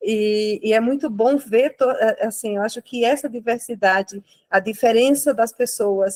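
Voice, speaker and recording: A woman talks with a Brazilian accent at a fairly slow pace. Her pitch is fairly high and her intonation fairly even. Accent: non-local Brazilian accent, noticeable. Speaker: lay church participant. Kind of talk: spontaneous reflection in online course. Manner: halting, many repetitions.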